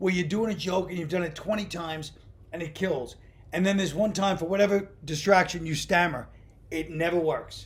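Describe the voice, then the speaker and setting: A man speaks with a New York accent and a high pitch. His pitch varies in an ordinary way. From Brooklyn, New York. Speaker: stand-up comedian. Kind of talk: interview answer, casual conversation.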